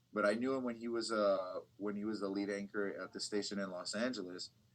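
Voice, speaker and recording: A man with a Californian accent speaks at a moderate pace and a fairly low pitch. His intonation is monotone and flat. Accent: Californian American English. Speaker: bilingual TV reporter. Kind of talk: casual interview.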